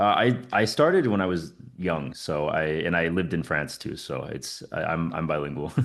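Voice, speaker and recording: With hardly any pauses, a man in a General American accent speaks at a moderate pace, his very deep, low voice showing vocal fry and ordinary pitch variation. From US Southwest, New Mexico. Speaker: fitness coach. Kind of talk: casual interview.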